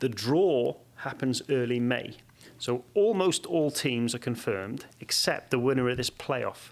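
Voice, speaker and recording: A man speaks with a Welsh accent at a medium pitch. His pace is fairly slow. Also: ordinary pitch variation. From Wales. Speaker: sports science professor and former soccer coach. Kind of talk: podcast interview answer.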